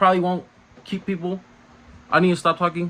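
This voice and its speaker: A man mumbles at a very fast pace. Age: young. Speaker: car vlogger. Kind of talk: casual vlog monologue. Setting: walking around, self-filmed. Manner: mumbling; casual, halting with fillers.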